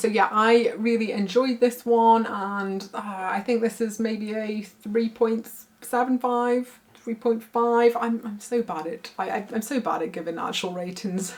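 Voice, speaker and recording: The woman's speech is fairly slow and fairly even in intonation, with noticeable background noise around her. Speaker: book reviewer. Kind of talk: casual talk to camera.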